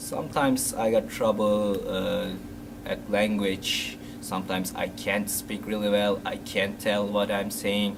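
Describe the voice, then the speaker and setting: Fairly slow speech from a man, amid noticeable background noise and audible echo from the room. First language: non-English. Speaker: interviewee, immigrant. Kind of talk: interview. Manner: halting.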